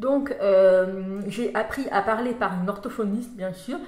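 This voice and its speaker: A woman's fairly high voice with fairly even intonation, plus audible room echo and noticeable background noise. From France. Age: 30s. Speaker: vlogger. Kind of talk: casual vlog talk.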